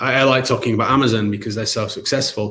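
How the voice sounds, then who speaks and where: A man with a British accent talks at a medium pitch with ordinary pitch variation. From England. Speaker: company CEO presenting webinar. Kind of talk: live webinar product demo with Q&A. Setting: live online broadcast. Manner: casual, hesitant with fillers.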